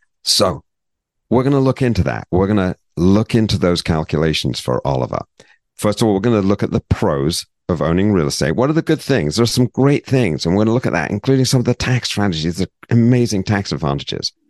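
In a British accent, a man races along at a very fast pace with very wide pitch swings from a fairly low base, recorded dry and close with no echo against a quiet background. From Britain. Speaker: financial advisor, podcast host. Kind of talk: educational podcast chat.

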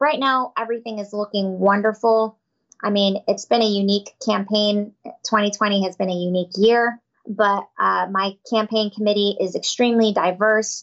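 A woman with an American accent has an unremarkable speaking voice at a medium pitch. She keeps a moderate pace and fairly even intonation. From Tampa, Florida. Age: 30s. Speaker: prosecutor and judicial candidate. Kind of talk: interview, campaign talk. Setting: studio.

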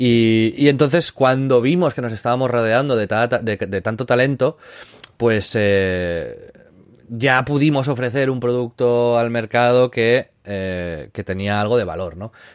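A man speaks fairly slowly while noticeable noise runs in the background. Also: medium pitch for a man, ordinary pitch variation. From Catalonia, Spain (Maresme, near Barcelona). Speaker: influencer agency founder, former video game journalist. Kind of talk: casual interview. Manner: halting, frequent repetitions.

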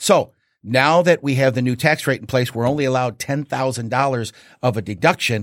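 On a very clean recording with a silent background, a man speaks at a fairly quick pace with an animated tone, a medium pitch and ordinary pitch variation. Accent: American. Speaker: real estate agent. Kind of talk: casual chat.

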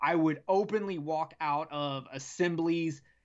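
A man with a Southern US accent speaks at a fairly high pitch with fairly even intonation. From US South (South Carolina and Alabama). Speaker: podcast host from another show. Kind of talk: casual chat.

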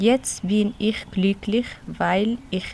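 Her intonation is fairly even. The woman's pitch is medium. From Tunisia. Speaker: childcare worker. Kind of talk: reading aloud. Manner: halting.

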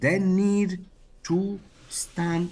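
A man's voice is somewhat breathy. His tone is dark and mellow. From Burkina Faso. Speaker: human rights activist. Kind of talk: interview. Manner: halting, many repetitions and fillers.

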